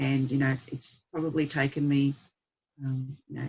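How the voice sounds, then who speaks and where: A woman speaks with an Australian accent at a fairly slow pace. Her very deep, low voice stays monotone and flat. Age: 60s. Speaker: abuse survivor and advocate. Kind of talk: testimony. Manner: halting.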